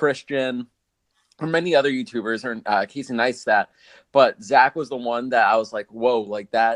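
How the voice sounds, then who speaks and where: The pitch moves in an ordinary way, and the sound is dry and close with no echo. It is an ordinary speaking voice. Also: man. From US, Guatemalan immigrant family. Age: young. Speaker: podcast host and videographer. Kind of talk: casual interview chat.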